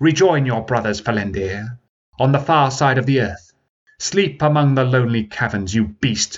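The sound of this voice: An unforced reading voice sounds out against a quiet background.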